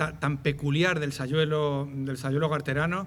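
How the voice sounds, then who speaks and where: Recorded with audible room echo, a man speaks with a Madrid accent and vocal fry. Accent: Madrid neighbourhood. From Madrid, Spain. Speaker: ethnographer of traditional dress. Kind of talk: public lecture. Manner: hesitant, repeats words.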